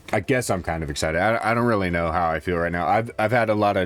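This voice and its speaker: Putting on a character voice, a man talks at a very fast pace, raspy and very deep in pitch. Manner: low-key, in a decent mood.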